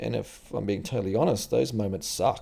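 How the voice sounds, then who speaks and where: A man talks at a moderate pace in a dark, mellow, relaxed tone. The recording is very clean, with a silent background. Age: 40s. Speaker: vlogger. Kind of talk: casual monologue. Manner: relaxed, lots of fillers.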